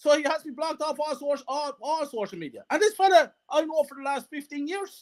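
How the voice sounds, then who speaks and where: With a Wexford Irish accent, a man with an extremely high pitch talks in an animated tone, ordinary pitch variation and hardly any pauses. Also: fairly quick pace, big swings in loudness. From Ireland, County Wexford. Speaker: football fan. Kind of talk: casual interview chat.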